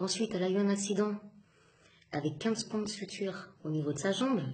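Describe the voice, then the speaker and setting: At a moderate pace, a woman speaks with lively intonation and a somewhat breathy voice. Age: 20s. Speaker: single mother. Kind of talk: testimony. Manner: halting.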